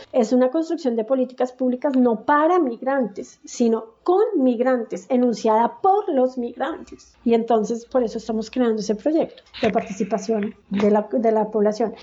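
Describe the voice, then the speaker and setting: A woman in a Colombian accent, high-pitched with ordinary pitch variation, at a moderate pace with hardly any pauses. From Colombia, Bogotá. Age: 40s. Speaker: migrant activist and academic. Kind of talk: interview testimony.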